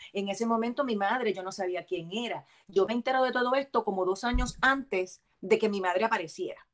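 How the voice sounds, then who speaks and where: Speaking at a fairly quick pace, a woman has a fairly high pitch. She leaves hardly any pauses. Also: ordinary pitch variation. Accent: Puerto Rican. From Puerto Rico, Bayamón. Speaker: actress and comedian. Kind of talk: casual chat. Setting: video call.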